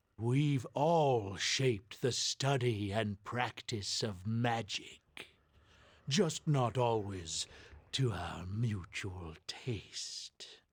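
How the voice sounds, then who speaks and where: A man's put-on character voice at medium pitch, very slow in pace, on a very clean recording with a silent background. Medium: video game. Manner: condescending, scholarly.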